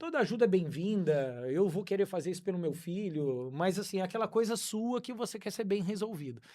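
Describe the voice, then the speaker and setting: Over a very clean recording with a silent background, a man with a high pitch and a dark, mellow tone talks at a fairly quick pace with lively intonation and hardly any pauses. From Brazil, interior of São Paulo state. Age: 50s. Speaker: real estate agent. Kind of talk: podcast interview.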